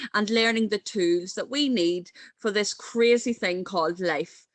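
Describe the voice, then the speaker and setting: A woman with an Irish accent speaks at a fairly slow pace. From Ireland. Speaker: mental health coach and speaker. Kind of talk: conference talk.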